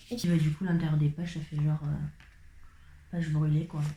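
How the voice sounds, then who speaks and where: A woman speaks with a somewhat breathy voice. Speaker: vlogger. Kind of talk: casual talk to camera. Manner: chatty.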